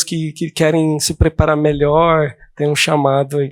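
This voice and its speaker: Soft-spoken and fairly high-pitched, a man talks at a fairly slow pace in a dry, close sound with no echo. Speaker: counselee in a simulated counseling session. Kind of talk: role-play counseling session. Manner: calm, soft-spoken; hesitant, many fillers.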